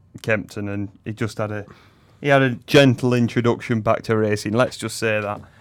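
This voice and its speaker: An unremarkable speaking voice from a man at medium pitch, moderate pace, in a very clean recording with a silent background. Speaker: racing co-host and tipster. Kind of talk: casual chat, racing preview. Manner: casual, conversational.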